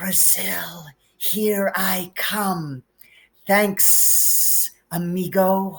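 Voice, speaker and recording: A put-on character voice speaks at a very slow pace. The pitch is middle, with hissing. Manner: casual, grateful.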